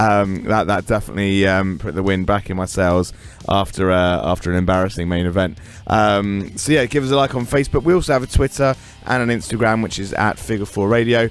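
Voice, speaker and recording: With music playing in the background, a man talks at a fairly quick pace. His pitch is fairly low and varies in an ordinary way. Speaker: podcast host and wrestling commentator. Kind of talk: podcast sign-off. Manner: halting, many fillers.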